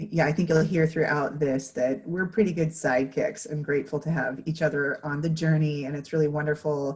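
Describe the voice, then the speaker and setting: Her voice is somewhat breathy and sits at a very deep, low pitch for a woman. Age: 30s. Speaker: patient panelist. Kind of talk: panel talk.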